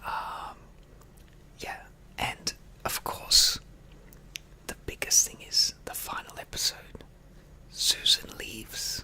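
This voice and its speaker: A man whispers at a very slow pace. Noticeable background noise is audible. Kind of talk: ASMR casual talk. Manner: whispered.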